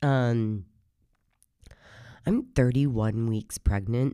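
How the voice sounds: In a very clean recording with a silent background, a woman speaks at a very slow pace with an extremely low pitch, a hoarse voice and a clear, smooth, dark, mellow tone. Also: ordinary pitch variation.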